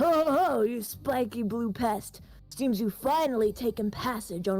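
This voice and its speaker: Over clear background music, a woman uses a put-on character voice at a fairly high pitch and a moderate pace. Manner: theatrical, taunting, laughing.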